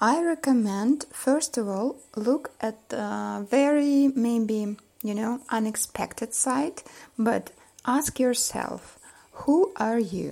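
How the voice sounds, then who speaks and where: A woman with a Russian accent speaks at a very slow pace, her pitch fairly high with ordinary variation. Her tone is dark and mellow. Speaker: image consultant. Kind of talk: vlog talk to camera. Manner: halting, many fillers.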